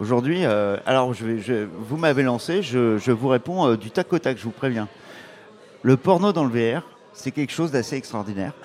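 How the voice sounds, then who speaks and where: Here a man talks at a moderate pace with medium pitch for a man. His intonation is lively. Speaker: startup founder. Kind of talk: interview. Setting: live event with audience. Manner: energetic.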